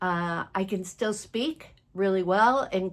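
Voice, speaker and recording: In a very clean recording with a silent background, a woman of medium pitch speaks at a very slow pace. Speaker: vlogger living with Alzheimer's. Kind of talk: personal vlog talk to camera. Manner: pauses searching for words; halting, self-correcting.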